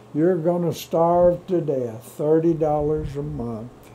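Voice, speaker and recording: With a West Texas accent, a man talks at a very slow pace in a dark, mellow tone, his pitch fairly high and its variation ordinary. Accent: West Texas rural drawl. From Texas Panhandle. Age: 90s. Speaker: retired cowboy and rancher. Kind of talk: oral history interview.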